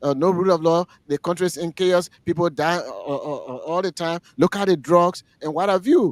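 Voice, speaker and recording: At a moderate pace, a high-pitched male voice with ordinary pitch variation comes through in a very clean, dry, close recording with no echo and a silent background. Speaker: radio talk show panelist. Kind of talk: political talk radio discussion. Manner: halting, many repeated words.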